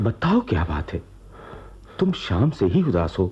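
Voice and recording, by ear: A man's put-on character voice, low-pitched with a dark, mellow tone, very wide pitch swings and a fairly slow pace.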